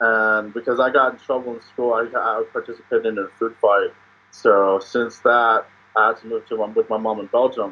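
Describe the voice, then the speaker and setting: Pausing often and at length, a man speaks at a moderate pace in a flat monotone. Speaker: podcast guest. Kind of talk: interview answer. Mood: cheerful, laughing. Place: home room. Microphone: video call.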